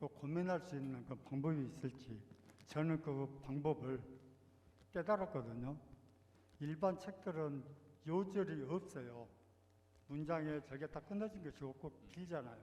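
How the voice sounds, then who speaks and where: A man's somewhat breathy voice, fairly high in pitch, with a dark, mellow tone, a fairly slow pace and long, frequent pauses. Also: ordinary pitch variation. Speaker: church member asking questions. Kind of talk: Q&A discussion. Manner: pauses for breath.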